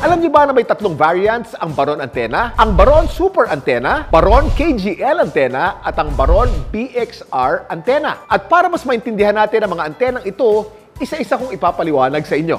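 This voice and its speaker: A man talks at a fairly quick pace and high pitch with hardly any pauses. His very wide pitch swings play over music in the background. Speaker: TV host presenter. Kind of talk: infomercial product explanation to camera.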